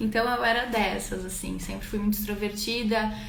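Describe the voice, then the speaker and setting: Fairly high, flat, monotone speech from a woman, with audible room echo. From Brazil, Rio Grande do Sul (Garibaldi, interior). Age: 20s. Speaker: livestreamer telling her life story. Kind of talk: personal storytelling livestream. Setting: live stream. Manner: conversational, with hesitations.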